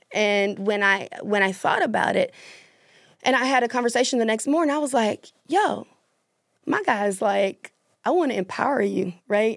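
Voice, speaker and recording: A woman with a Southern US accent and fairly high pitch. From US South, Mississippi. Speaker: author and public speaker. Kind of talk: casual chat.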